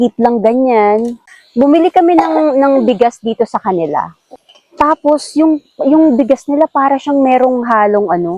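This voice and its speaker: A woman speaks at a fairly slow pace in a high voice with lively intonation. Her loudness stays very even, and the sound is dry and close with no echo. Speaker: camping vlogger. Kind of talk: casual vlog narration. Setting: outdoors at campsite.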